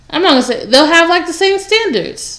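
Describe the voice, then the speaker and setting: Noticeable background noise runs under this recording. A woman talks at a fairly quick pace. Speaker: podcast host. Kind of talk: casual chat.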